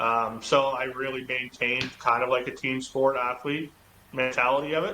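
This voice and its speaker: Over noticeable background noise, a man speaks in a monotone, flat way with a Canadian Maritime accent. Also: medium pitch for a man, moderate pace. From Eastern Canada (Halifax, Nova Scotia). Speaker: football quarterback. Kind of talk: podcast interview. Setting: podcast recording. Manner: loud, outgoing.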